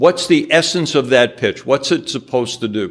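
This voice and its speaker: A New York accent at a moderate pace with ordinary pitch variation, on a very clean recording with a silent background. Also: man. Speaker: angel investor. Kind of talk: business presentation with slides. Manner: direct, blunt.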